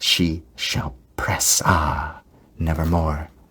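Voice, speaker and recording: This man's voice is pitched very deep and low. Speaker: ASMR creator. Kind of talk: poetry reading. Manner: whispered, soft-spoken.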